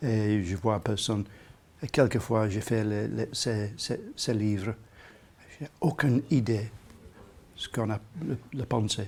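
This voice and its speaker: A man talks at a very slow pace, with long, frequent pauses. His voice is fairly low and somewhat breathy, with ordinary pitch variation. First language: English (speaking French). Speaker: comics author and artist. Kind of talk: interview. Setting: bookshop signing. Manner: halting.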